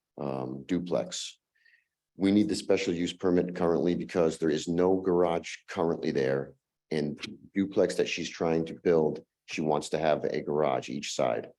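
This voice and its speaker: Over a quiet background, a man speaks at a moderate pace with a very deep, low voice and ordinary pitch variation. His tone is dark and mellow, with vocal fry. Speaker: applicant's representative at zoning hearing. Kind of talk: public hearing testimony. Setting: town zoning board meeting. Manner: hesitant with frequent fillers.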